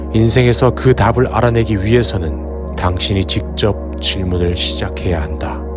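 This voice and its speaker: A man with a very deep, low pitch talks at a fairly slow pace with hardly any pauses and lively intonation. Music plays in the background. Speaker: meditation guide. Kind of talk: guided meditation affirmation for sleep.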